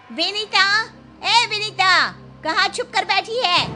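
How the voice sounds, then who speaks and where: Over clear background noise, a woman does a put-on character voice at an extremely high pitch. She talks at a very slow pace with fairly even intonation. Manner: shouting, agitated.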